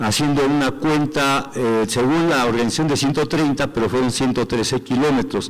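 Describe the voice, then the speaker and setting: A man talks at a medium pitch and with ordinary pitch variation while noticeable background noise carries on. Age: 60s. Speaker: sports representative of a political movement. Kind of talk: assembly report.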